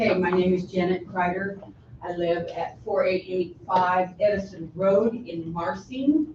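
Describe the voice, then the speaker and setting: A woman's plain, everyday voice at medium pitch, with ordinary pitch variation and a fairly slow pace. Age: 60s. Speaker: resident testifying at public hearing. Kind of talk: public testimony.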